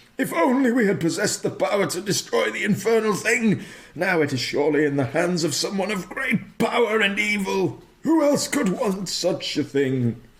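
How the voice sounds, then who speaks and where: A man puts on a character voice, speaking high in pitch. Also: moderate pace. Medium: actual play.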